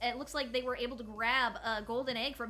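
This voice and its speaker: Music plays in the background as a woman with an American accent talks at a very fast pace. Her pitch is high. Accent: southern, comes out at times. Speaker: tournament host and caster. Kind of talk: live esports commentary. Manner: animated.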